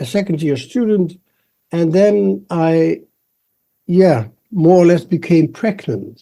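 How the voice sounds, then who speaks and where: Here a man speaks very slowly in a Dutch accent, his pitch high. His tone is dark and mellow, and his intonation lively. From Netherlands. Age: 70s. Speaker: embryologist. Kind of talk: interview.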